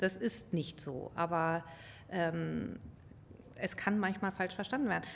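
Speaking at a very slow pace with long, frequent pauses, a woman uses a fairly low pitch with ordinary variation and some vocal fry. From grew up abroad, diplomat's child. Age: 40s. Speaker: car company executive. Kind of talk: interview. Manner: halting.

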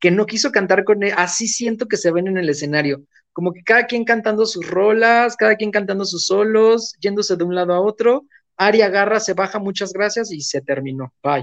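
At a moderate pace, a high-pitched man speaks with ordinary pitch variation. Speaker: entertainment commentator. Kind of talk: casual chat.

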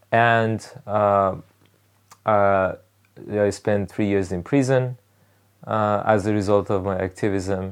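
Against a quiet background, a man with a Persian accent speaks very slowly in a monotone, flat delivery, with long, frequent pauses. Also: fairly low pitch for a man. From Iran (Rasht, northern Iran). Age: 30s. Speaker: political activist. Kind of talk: interview. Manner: halting, many fillers.

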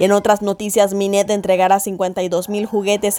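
Her delivery is monotone and flat at a moderate pace. The woman's pitch sits in the medium range. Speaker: news presenter. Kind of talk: news reading. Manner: formal.

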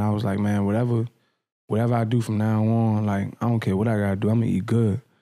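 Very fast speech from a man with an American accent and a dark, mellow tone, on a very clean recording with a silent background. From Washington, D.C. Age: 20s. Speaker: clothing brand founder. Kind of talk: casual interview. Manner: casual, animated.

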